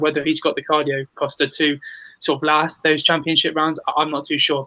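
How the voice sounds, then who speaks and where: In a British accent, a man speaks very fast in a flat monotone, his tone bright and sharp. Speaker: sports podcast host. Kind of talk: casual panel discussion.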